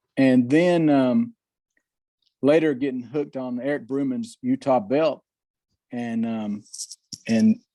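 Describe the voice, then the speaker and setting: Talking at a fairly slow pace, the speaker has a Southern US accent and a dark, mellow tone. Pitch variation is ordinary. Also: man. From US South. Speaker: model railroader. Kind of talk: casual chat.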